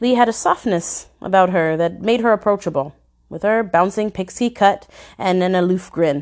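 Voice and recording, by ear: The voice reads aloud naturally. Its pitch moves in an ordinary way.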